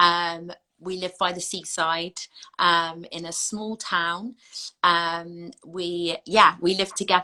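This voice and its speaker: Speaking very slowly with an English accent, a woman uses a bright, sharp tone at a fairly low pitch, her intonation monotone and flat but her loudness swinging widely. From southern England. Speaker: anti-racism educator. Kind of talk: interview.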